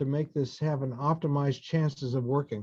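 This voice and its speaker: Against a quiet background, a man with an American accent speaks in a fairly high pitch, his dark, mellow tone delivered with monotone, flat intonation. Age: 60s. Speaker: fertility doctor. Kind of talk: lecture.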